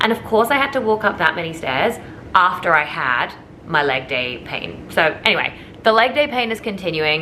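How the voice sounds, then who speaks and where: A woman talks at a fairly quick pace and medium pitch with very wide pitch swings, over noticeable background noise. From England then Australia. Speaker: lifestyle vlogger. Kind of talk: vlog narration. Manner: animated.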